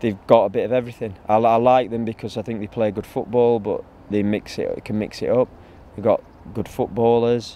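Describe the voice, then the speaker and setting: With a dark, mellow tone and monotone, flat intonation, a man speaks at a moderate pace in a dry sound with no echo over light background noise. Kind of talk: interview answer. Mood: relaxed, occasionally laughing. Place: open country.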